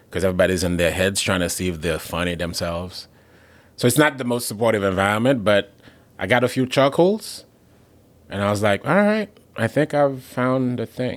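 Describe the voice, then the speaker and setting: The speaker talks at a fairly quick pace with a Haitian accent. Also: man, fairly low pitch for a man, lively intonation. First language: Haitian Creole. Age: 20s. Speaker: comedian. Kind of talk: casual chat.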